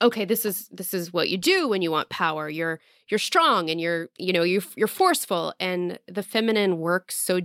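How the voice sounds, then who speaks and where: The recording is very clean with a silent background and a dry, close sound with no echo, carrying an ordinary speaking voice with ordinary pitch variation. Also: woman. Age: 30s. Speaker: podcast host. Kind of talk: casual interview chat.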